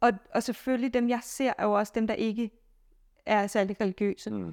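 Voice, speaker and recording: A woman speaks with fairly high pitch and fairly even intonation. The sound is dry and close with no echo, on a very clean recording with a silent background. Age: 30s. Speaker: physicist and solo traveller. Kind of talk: interview.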